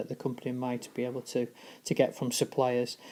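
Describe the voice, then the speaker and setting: A woman with a Yorkshire accent and a very deep, low, dark, mellow voice talks at a fairly quick pace. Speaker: teacher. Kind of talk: informal classroom explanation. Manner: monotone.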